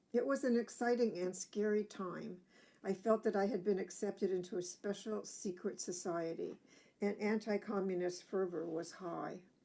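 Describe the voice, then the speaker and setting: Using a dark, mellow tone, a woman with an American accent speaks at a medium pitch and a moderate pace with ordinary pitch variation. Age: 70s. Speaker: activist speaker. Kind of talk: testimony.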